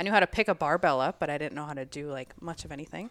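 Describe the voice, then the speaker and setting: Speaking in a Minnesotan accent, a woman moves at a fairly quick pace with lively intonation. The recording is very clean, with a silent background. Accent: Minnesota. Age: 30s. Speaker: gym member, Navy veteran and nurse. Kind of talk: casual interview.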